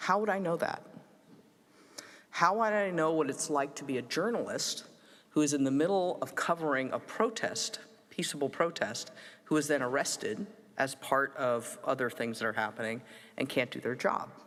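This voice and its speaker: With an American accent, a man speaks at a moderate pace in a fairly high pitch, his intonation lively and his pauses long and frequent. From United States. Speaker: forum moderator and human rights practitioner. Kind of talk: conference summary talk.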